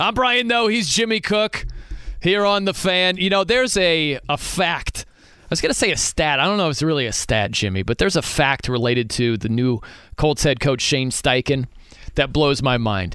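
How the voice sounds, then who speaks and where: Very wide pitch swings mark this man's fairly high voice, delivered at a moderate pace with very even loudness. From US Midwest. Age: 40s. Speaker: sports radio host. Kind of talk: casual chat. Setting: studio.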